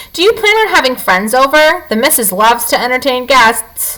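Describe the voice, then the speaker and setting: Putting on a gruff character voice, a woman speaks at a high pitch and moderate pace with very wide pitch swings. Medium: read story. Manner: gruff, grumbling.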